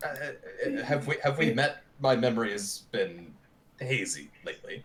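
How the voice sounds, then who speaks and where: A man's put-on character voice at a moderate pace. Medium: actual play. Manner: halting, confused.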